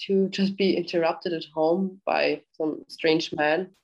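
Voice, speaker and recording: With a German accent, a woman speaks in a fairly low pitch with monotone, flat intonation. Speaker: podcast host. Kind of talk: interview.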